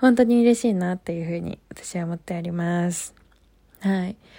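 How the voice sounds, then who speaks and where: Fairly level intonation runs through the woman's dark, mellow tone. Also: very clean recording, silent background. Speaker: podcast host. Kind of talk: casual chat. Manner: low-energy.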